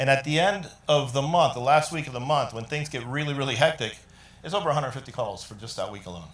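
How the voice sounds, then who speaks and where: Talking at a very fast pace, a man with a fairly high pitch shows big swings in loudness and ordinary pitch variation. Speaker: IT business leader presenting at a tech summit. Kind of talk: conference presentation.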